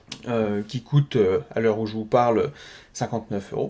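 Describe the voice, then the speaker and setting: A man speaks at a moderate pace and a medium pitch, with ordinary pitch variation and a dark, mellow tone. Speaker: web marketing trainer and podcaster. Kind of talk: casual solo podcast monologue. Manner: hesitant, stumbles over words.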